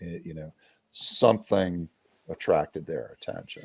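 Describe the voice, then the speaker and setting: A man speaks with an American accent and vocal fry. His tone is dark and mellow. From US East, Maryland. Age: 60s. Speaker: reptile breeder. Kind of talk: podcast interview. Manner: halting, many false starts.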